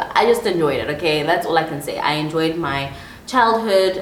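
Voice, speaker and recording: Noticeable background noise and audible room echo are present. Through them, a woman talks at a moderate pace. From South Africa, KwaZulu-Natal. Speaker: life coach. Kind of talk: solo podcast monologue. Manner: animated.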